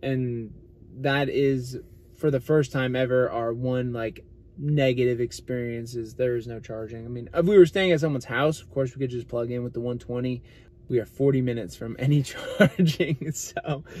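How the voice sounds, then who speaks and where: The sound is dry with no echo as a man speaks at a moderate pace. His loudness swings widely, and his pitch variation is ordinary. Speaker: channel co-host. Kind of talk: casual vlog chat. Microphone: phone near.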